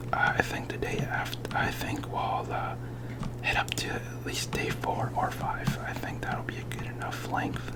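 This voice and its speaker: Someone is whispering at a moderate pace against noticeable background noise. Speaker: ASMR gaming creator. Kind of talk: ASMR gameplay commentary. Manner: whispered; hesitant, many filler words.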